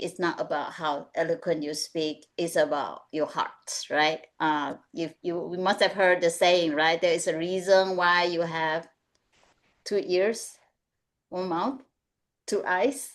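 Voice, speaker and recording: A woman speaks in a Mandarin accent. Her pitch varies in an ordinary way. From Malaysia. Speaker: executive coach. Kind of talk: webinar panel discussion.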